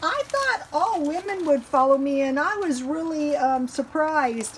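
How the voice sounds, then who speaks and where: The speaker talks at a very slow pace with an American accent and lively intonation. Noticeable background noise is audible. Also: woman. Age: 60s. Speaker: home cooking and frugal living vlogger. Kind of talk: casual vlog talk. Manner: hesitant, many fillers.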